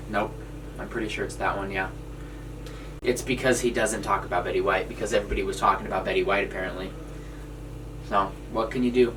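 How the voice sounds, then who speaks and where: With an American accent, a man talks at a very fast pace with long, frequent pauses, over noticeable background noise and audible room echo. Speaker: podcast co-host. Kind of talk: casual chat.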